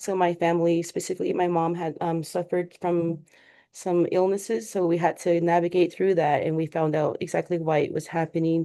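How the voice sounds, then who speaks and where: A woman talks at a fairly quick pace in a fairly low pitch, with a dark, mellow tone and monotone, flat intonation against a quiet background. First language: Navajo. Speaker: public health researcher. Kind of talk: webinar presentation. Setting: online webinar. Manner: halting, frequent fillers.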